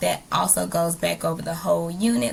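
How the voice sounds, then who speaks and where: Over noticeable background noise, a woman with a very deep, low pitch speaks at a moderate pace, her voice making very wide pitch swings. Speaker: teacher. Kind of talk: recorded presentation. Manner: hesitant, many fillers.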